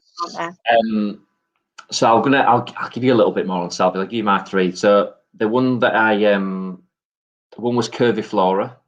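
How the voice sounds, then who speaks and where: A man with a Yorkshire accent, fairly low in pitch, at a moderate pace with ordinary pitch variation. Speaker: gardening guest. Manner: hesitant, many ums.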